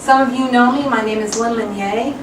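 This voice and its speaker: A woman with a fairly high pitch and ordinary pitch variation talks amid audible room echo and noticeable background noise. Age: 50s. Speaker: attorney. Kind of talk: personal video presentation. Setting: at home.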